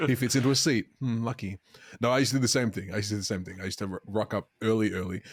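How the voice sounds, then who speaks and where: An Australian-accented man with a fairly low pitch and ordinary pitch variation speaks at a very fast pace, the sound dry and close with no echo. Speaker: podcast co-host. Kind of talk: casual chat.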